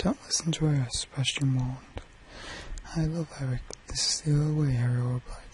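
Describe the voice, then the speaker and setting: A man whispers at a fairly quick pace with a British accent. Noticeable background noise sits behind him. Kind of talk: bedtime story reading. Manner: whispered.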